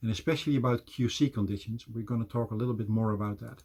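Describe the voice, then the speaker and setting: In a Dutch accent, a man speaks at a very fast pace with a medium-pitched, somewhat breathy voice and fairly even intonation. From Netherlands. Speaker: business development manager. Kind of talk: presentation.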